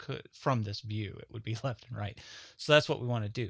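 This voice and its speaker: On a very clean recording with a silent background, a man mumbles with ordinary pitch variation. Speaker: 3D modeling tutorial instructor. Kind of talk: software tutorial. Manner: casual, conversational; mumbling.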